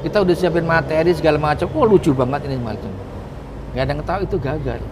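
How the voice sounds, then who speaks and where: A man talking at a very fast pace in an animated tone, over noticeable background noise. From Jakarta (Betawi). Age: 40s. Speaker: comedian. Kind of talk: interview.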